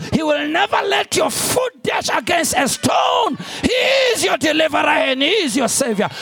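Shouting over noticeable background noise, a man's extremely high voice takes very wide pitch swings in an animated tone. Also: moderate pace. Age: 50s. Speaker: pastor. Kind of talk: sermon. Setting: church with large congregation and overflow room. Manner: animated, call-and-response preacher who pushes the congregation for an 'amen'; urgent, repetitive, emphatic delivery with direct appeals.

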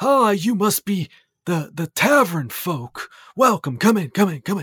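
A man uses a high-pitched, put-on character voice at a very slow pace. The recording is very clean, with a silent background. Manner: welcoming, shuffling old man.

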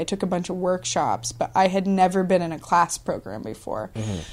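With an American accent, a woman speaks at a fairly quick pace and a medium pitch, with vocal fry. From Washington State, Columbia River Gorge. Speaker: actress and improv teacher. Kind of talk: casual interview. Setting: in a house.

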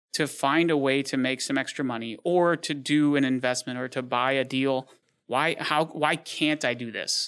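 A man with an American accent speaks in an ordinary speaking voice. His pitch is fairly high and his pace moderate. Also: fairly even intonation, very clean recording, silent background. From Michigan, Detroit. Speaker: business owner. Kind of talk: interview.

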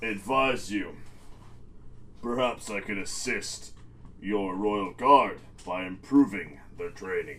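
A man uses a put-on character voice with a fairly low pitch, a fairly slow pace and long, frequent pauses. His loudness swings widely, and clear background noise is present. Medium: actual play. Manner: formal, silky, pointed.

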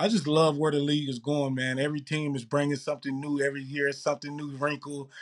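Speaking very fast with a Mississippi accent, a man uses a fairly high pitch. The sound is dry and close, with no echo. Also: very clean recording, silent background. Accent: Southern US (Mississippi). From Mississippi, US South. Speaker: pro football player. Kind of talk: casual interview.

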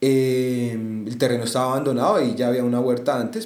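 Recorded with audible room echo, a man talks at medium pitch and a moderate pace. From Bogotá, Colombia (Bosa). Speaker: student, musician and urban garden co-founder. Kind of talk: interview conversation. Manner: hesitant.

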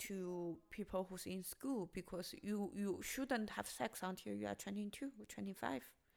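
At a fairly slow pace, a woman speaks at a medium pitch with a Chinese accent. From China. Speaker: stand-up comedian. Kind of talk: casual chat. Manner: halting, hesitant.

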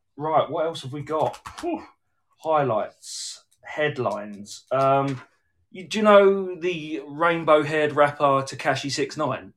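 Speaking very slowly with a southern English accent, a man uses a fairly high pitch, ordinary pitch variation, and big swings in loudness, in a very clean recording with a silent background. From southeast England. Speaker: podcast host. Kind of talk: casual chat, live stream. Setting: live video stream. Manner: jokey, puts on impressions.

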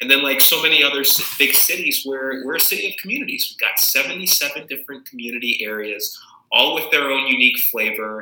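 Speaking at a fairly quick pace with an American accent, a man is heard over noticeable background noise and audible room echo. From Arizona (Tucson). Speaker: city council member. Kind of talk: interview.

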